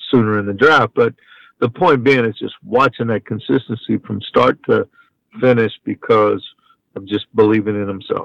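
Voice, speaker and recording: A normal speaking voice with an American accent, ordinary pitch variation and a moderate pace. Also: man. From Texas, Houston. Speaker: college baseball head coach. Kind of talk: interview.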